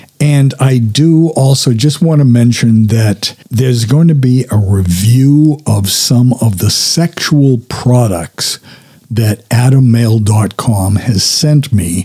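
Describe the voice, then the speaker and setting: Very slow yet with hardly any pauses, a man speaks at a medium pitch in a dark, mellow, somewhat breathy tone, with ordinary pitch variation and very even loudness. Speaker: podcast host. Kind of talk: solo intro and interview. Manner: hyper, excitable.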